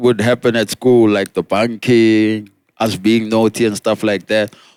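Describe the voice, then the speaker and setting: In a South African accent, a man speaks at a fairly slow pace, the sound dry and close with no echo. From South Africa, Pretoria. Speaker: rapper. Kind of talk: casual chat. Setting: outdoors on a rooftop.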